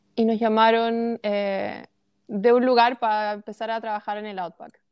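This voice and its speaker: At a moderate pace, a woman speaks in a plain, everyday voice with a fairly high pitch. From Chilean Patagonia, small town. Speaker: holistic coach. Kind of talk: interview, personal story.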